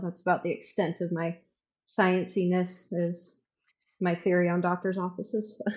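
A woman with an ordinary speaking voice, medium in pitch, at a fairly slow pace. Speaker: medical office worker. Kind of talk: casual chat.

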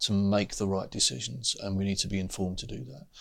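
At a fairly quick pace, a man speaks in a plain, everyday voice with a fairly low pitch, on a very clean recording with a silent background. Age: 60s. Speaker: education chief executive and former head teacher. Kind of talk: interview.

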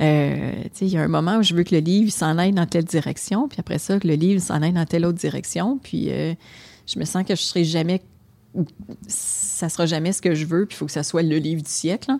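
A woman speaks fairly quickly with a Quebec accent, her pitch fairly low and its variation ordinary. Her tone is dark and mellow. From Quebec, Hull (Gatineau). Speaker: restaurant owner. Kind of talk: casual chat.

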